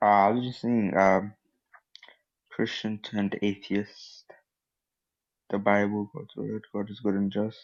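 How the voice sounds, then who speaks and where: Soft-spoken and fairly slow, a man talks at a fairly low pitch in a monotone, flat intonation, with long, frequent pauses. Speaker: caller. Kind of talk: casual chat.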